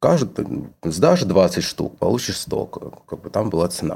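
A man's fairly low voice with vocal fry and a dark, mellow tone, at a very slow pace. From Georgia, Tbilisi. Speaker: fashion designer. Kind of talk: casual interview chat.

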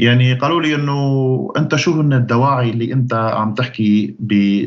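At a fairly slow pace, a man speaks with a Syrian accent. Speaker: activist and YouTuber. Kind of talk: interview answers, serious tone. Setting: video call.

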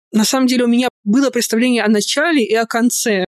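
Speaking at a fairly quick pace, a woman has a plain, everyday voice, captured dry and close with no echo. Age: 30s. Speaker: podcast host and fan fiction writer. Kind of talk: casual interview chat.

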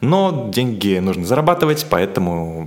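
A man speaks with a fairly low pitch and very wide pitch swings. Noticeable background noise sits behind him. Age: 30s. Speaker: marketer and producer. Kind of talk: interview conversation.

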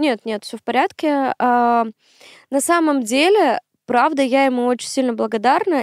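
A woman with a high pitch speaks at a moderate pace, her pitch varying in an ordinary way. The recording is very clean, with a silent background and a dry, close sound with no echo. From Komi Republic, northern Russia (Syktyvkar). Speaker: math tutor and education entrepreneur. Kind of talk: casual chat.

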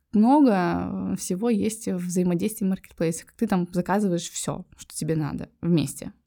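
A woman's dark, mellow voice at a medium pitch, fairly slow, with ordinary pitch variation, on a very clean recording with a silent background. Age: 30s. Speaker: entrepreneur. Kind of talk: interview.

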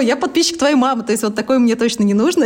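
A woman rattles along very fast, her intonation lively, as noticeable background noise plays behind her. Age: 30s. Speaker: blogger and entrepreneur. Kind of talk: casual interview chat.

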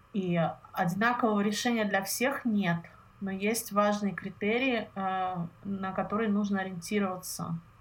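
A woman speaks at a fairly slow pace and medium pitch. Her somewhat breathy voice has fairly even intonation. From Russia, Saint Petersburg. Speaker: health consultant. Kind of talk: interview. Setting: call.

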